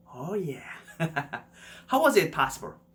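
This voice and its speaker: A man talks with a Korean accent and lively intonation. His voice is somewhat breathy. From South Korea. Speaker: YouTuber. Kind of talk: personal story narration.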